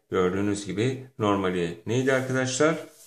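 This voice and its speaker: Fairly low-pitched male speech, ordinary pitch variation, and audible room echo. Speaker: English teacher. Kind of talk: lecture. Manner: animated.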